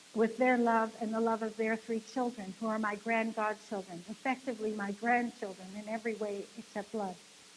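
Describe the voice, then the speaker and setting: Through noticeable background noise, a woman talks at a moderate pace in a fairly high pitch with monotone, flat intonation. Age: 60s. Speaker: bereaved parent and conference speaker. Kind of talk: conference talk.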